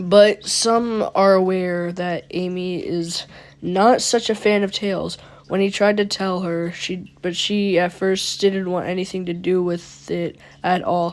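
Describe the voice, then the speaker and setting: A woman speaks fairly slowly with monotone, flat intonation. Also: medium pitch for a woman. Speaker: youtuber reading creepypasta. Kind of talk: reading aloud with commentary. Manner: stuttering.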